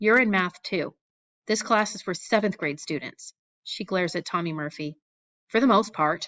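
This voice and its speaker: A woman puts on a character voice at medium pitch, raspy, gravelly and croaky. She keeps a moderate pace. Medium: read story. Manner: stern, commanding.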